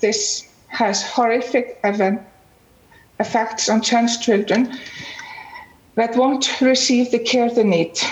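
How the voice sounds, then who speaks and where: A woman with an Icelandic accent, fairly high in pitch, at a very slow pace with long, frequent pauses, fairly even intonation and very even loudness, over noticeable background noise. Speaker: parent and nonprofit founder. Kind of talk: panel discussion. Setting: video call.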